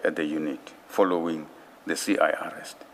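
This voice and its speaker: There is noticeable background noise throughout. A man speaks over it at a fairly slow pace. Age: 60s. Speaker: witness at a commission of inquiry. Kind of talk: testimony. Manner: formal.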